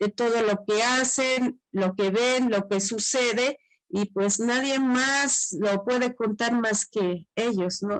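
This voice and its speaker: At a very slow pace, a woman speaks with fairly even intonation in a dry, close sound with no echo. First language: Tzotzil (speaking Spanish). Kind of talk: panel presentation.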